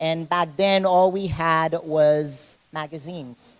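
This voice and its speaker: With a Caribbean accent, a woman speaks in a very deep, low pitch and monotone, flat intonation. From Haiti. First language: French. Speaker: fitness competitor and personal trainer. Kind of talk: interview. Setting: gym.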